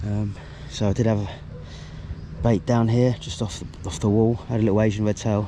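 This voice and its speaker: Over noticeable background noise, a man talks at a fairly quick pace in a fairly low pitch. His intonation is monotone and flat, with long, frequent pauses. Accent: British. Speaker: angler vlogger. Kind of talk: casual vlog narration. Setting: outdoors at a fishing lake. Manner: mumbling.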